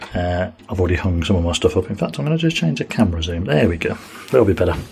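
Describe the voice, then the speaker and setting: This man speaks at a very fast pace with an English accent and a very deep, low pitch. His voice is somewhat breathy, with ordinary pitch variation. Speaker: family vlogger. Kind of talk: casual chat. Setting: hotel room. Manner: soft-spoken.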